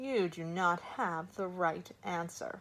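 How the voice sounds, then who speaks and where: A woman's croaky, put-on character voice, fairly low in pitch and at a fairly slow pace. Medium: read story. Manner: cool, certain, blunt.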